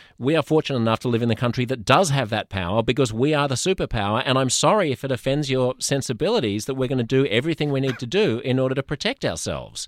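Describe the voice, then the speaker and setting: Someone with an Australian accent talks very fast with hardly any pauses and ordinary pitch variation, the sound dry and close with no echo. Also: man, medium pitch for a man. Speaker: podcast host. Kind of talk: casual chat.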